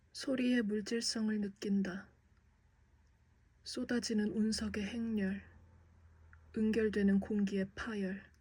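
A somewhat breathy woman speaks at a very slow pace, with long, frequent pauses and monotone, flat intonation. Her tone is dark and mellow, and her pitch is fairly high. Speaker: aspiring actor. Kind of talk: poetry reading.

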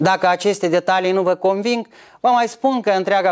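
Against a quiet background, a man talks at a fairly quick pace. His pitch is high, with ordinary variation. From Moldova. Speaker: political commentator. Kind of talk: scripted commentary. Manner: formal. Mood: calm, mildly argumentative. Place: studio.

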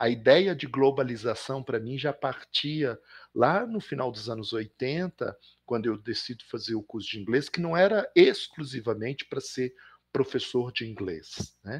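An ordinary speaking voice from a man at a medium pitch, fairly slow, with lively intonation and big swings in loudness, over a quiet background. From Belo Horizonte, Minas Gerais, Brazil. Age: 50s. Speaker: professor and visual artist. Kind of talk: interview.

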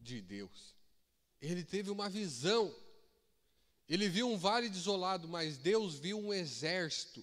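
A high-pitched man at a very slow pace, with lively intonation and a quiet background. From Brazil. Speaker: preacher. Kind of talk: sermon. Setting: church with congregation. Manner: animated, exhorting the congregation; repetitive, call-and-response with shouts of Aleluia. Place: church. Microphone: handheld.

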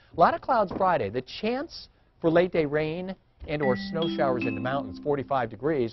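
Fairly high-pitched male speech, pace moderate. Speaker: TV meteorologist. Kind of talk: local TV weather report, chatty banter with anchor then walking through maps. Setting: TV studio. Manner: conversational and folksy, talking viewers through temperatures with asides; wry, playful self-questioning delivery with light laughter. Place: studio. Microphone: lapel.

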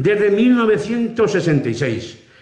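This man's pitch swings very widely. Audible room echo surrounds his voice. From Spain, Cuenca. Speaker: Holy Week proclaimer (pregonero). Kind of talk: public address at a Holy Week event. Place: hall. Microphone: podium.

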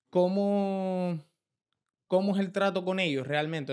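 A fairly slow male voice with ordinary pitch variation against a quiet background. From Canary Islands. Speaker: podcast host. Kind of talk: interview. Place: studio. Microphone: studio mic.

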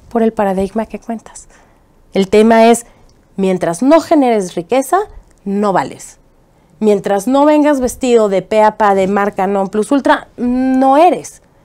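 Against a quiet background, a woman with a fairly high voice and a dark, mellow tone talks at a fairly slow pace with very wide pitch swings. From Mexico, Chihuahua. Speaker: political activist and TV presenter; TV presenter. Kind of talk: interview. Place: studio. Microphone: lapel.

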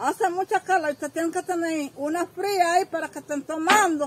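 A woman speaks with an extremely high pitch. Her pace is moderate. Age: old. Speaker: grandmother being interviewed. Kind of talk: interview answer. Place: home room. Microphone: handheld.

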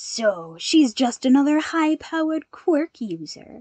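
Using a put-on character voice, a woman speaks at a fairly slow pace with a high pitch and very wide pitch swings. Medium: read story. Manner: gleeful, sneering.

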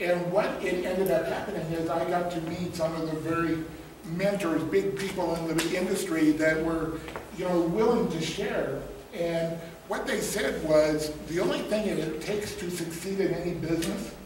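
Amid audible room echo and light background noise, a man speaks at a high pitch with fairly even intonation. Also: moderate pace. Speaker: guest. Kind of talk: motivational talk. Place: hall. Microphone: camera far.

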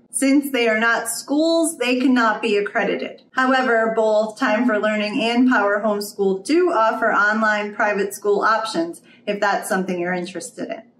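A woman talks with hardly any pauses amid light background noise and audible room echo. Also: ordinary pitch variation, moderate pace. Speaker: homeschool reviewer. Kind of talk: product review explainer. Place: home room.

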